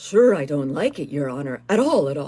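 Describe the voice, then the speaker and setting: This female-sounding voice is a put-on character voice with a low-to-middle pitch. It moves along at a moderate pace. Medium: read story. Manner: deferential.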